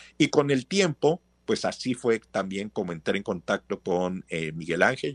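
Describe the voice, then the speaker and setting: The sound is dry and close with no echo against a quiet background. A man talks at a fairly slow pace. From Mexico, Veracruz. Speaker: professor. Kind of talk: interview.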